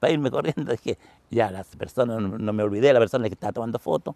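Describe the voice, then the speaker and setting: In a dry, close sound with no echo, the man's tone is dark and mellow. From southern Chile, Los Lagos (Los Ríos Region). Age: 80s+. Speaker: photographer and retired teacher, eyewitness. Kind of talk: interview testimony. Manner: halting, many repetitions.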